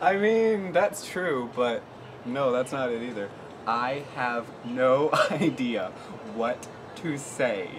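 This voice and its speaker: A man talks at a very slow pace with lively intonation. Noticeable background noise runs behind him. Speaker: daughter with her own channel, calls the other speaker Mom. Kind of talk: casual family banter to camera. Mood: playful, laughing. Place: home room.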